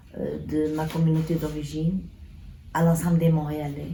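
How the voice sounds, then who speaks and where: A woman with a very deep, low pitch speaks at a fairly slow pace amid audible room echo. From northern Portugal, raised in Montreal from age 10. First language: Portuguese (speaking French). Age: old. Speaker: community activist and author. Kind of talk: speech to an audience. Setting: event in a restaurant.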